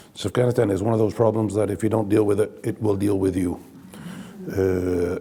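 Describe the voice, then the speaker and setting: A man with a fairly low voice speaks at a moderate pace in a monotone, flat delivery. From Italy. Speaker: diplomat. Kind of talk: panel discussion. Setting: stage with audience. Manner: halting, with many fillers.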